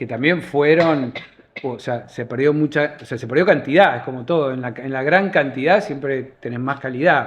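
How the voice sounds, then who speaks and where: Moving at a moderate pace, a man talks at a fairly high pitch with ordinary pitch variation and big swings in loudness. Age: 60s. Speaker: advertising creative director. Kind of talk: casual interview. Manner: halting.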